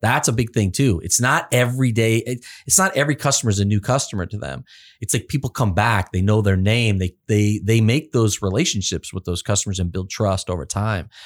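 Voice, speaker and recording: A plain, everyday voice moves at a fairly quick pace with ordinary pitch variation. The recording is very clean, the background silent. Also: man, fairly low pitch for a man. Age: 50s. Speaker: automotive service coach, podcast co-host. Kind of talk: casual podcast interview.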